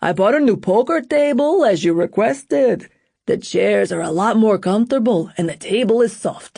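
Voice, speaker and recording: In a put-on character voice, a man speaks at a moderate pace, high-pitched and with lively intonation. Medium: read story. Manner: fearful.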